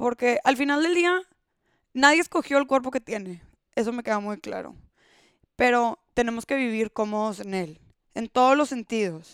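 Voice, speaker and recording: A woman's high-pitched voice with lively intonation, at a moderate pace with long, frequent pauses, in a very clean recording with a silent background and a dry, close sound with no echo. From Monterrey, Mexico. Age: 20s. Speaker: podcast host. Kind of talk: solo podcast monologue.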